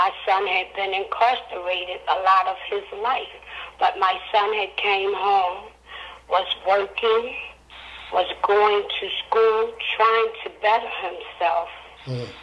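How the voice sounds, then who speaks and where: At a very slow pace, a woman with a medium pitch speaks with fairly even intonation over noticeable background noise. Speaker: guest, mother of a man who died in police custody. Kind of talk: emotional interview answer on a radio show.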